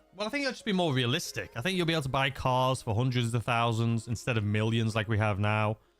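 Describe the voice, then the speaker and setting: Music in the background behind a man's voice at a medium pitch, fairly quick in pace, with lively intonation. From England (Chester). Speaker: gaming livestreamer. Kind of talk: casual livestream chat.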